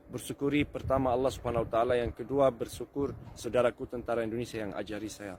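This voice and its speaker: A man with an Arabic accent, very fast pace and fairly even intonation. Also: medium pitch for a man, hardly any pauses. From Lebanon. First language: Arabic (speaking Indonesian). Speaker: foreigner learning Indonesian. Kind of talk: casual chat.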